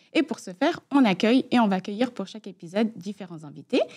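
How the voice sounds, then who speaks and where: A woman talks at a fairly quick pace in a medium pitch, her tone dark and mellow. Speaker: podcast host. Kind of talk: podcast introduction.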